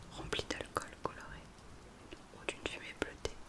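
A woman whispers at a fairly slow pace against noticeable background noise. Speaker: ASMR content creator. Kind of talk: whispered fairy-tale reading for ASMR. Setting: studio mic with rain and thunderstorm sounds in background. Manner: whispered, soft, slow.

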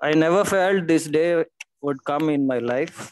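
At a fairly slow pace, a man speaks with ordinary pitch variation in a dry sound with no echo. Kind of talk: memorial tribute speech. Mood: somber, grieving. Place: home room. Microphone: video call.

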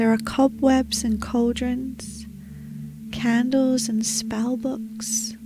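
A woman speaks very slowly in a calm, soothing tone over clear background music, the sound dry with no echo. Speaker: meditation guide. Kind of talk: guided meditation narration. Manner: calm, soothing, slow. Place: home room. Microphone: studio mic.

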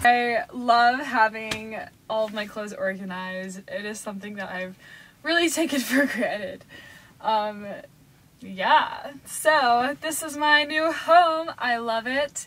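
A woman speaks in a high voice. Her pace is fairly slow. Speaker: van-life vlogger. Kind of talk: casual vlog chat. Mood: relaxed, laughing. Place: home room. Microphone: phone near.

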